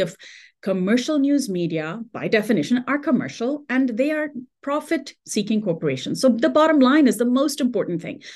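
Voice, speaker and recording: A woman with very wide pitch swings against a quiet background. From India and Dubai. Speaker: radio host and journalist. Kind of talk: interview conversation.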